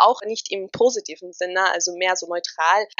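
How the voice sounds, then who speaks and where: A woman, in a normal speaking voice, keeps a moderate pace and a fairly even intonation. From Austria. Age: 20s. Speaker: model and influencer. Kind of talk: interview.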